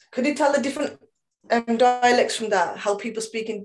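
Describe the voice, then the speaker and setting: A woman speaks with a Birmingham accent at a fairly high pitch. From Birmingham, West Midlands. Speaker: trainer. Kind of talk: lecture. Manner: fast.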